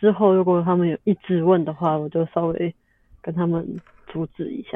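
Long pauses come often. Between them, the talking moves at a moderate pace. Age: 20s. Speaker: podcast guest, lupus patient. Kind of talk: casual chat.

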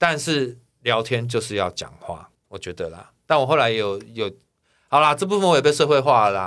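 A man's medium-pitched voice at a moderate pace, with very wide pitch swings and big swings in loudness, on a very clean recording with a silent background. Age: 40s. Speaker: singer-songwriter. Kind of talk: casual chat.

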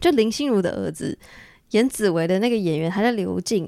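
In a dry, close sound with no echo, a woman at a medium pitch speaks in an animated tone with lively intonation. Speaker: podcast host. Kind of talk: solo monologue.

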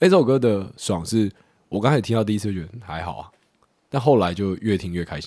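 The voice moves at a very fast pace with a dark, mellow tone. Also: man, fairly low pitch for a man, ordinary pitch variation, big swings in loudness. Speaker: podcast co-host; conscript soldier on leave. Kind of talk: casual chat.

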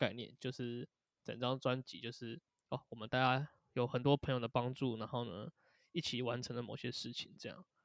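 This is an ordinary speaking voice: a man at medium pitch, talking at a moderate pace in a dry, close recording with no echo. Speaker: band drummer. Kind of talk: casual interview chat.

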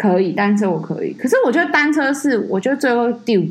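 A woman talks with lively intonation, keeping a moderate pace. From Taiwan, Taipei. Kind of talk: casual chat.

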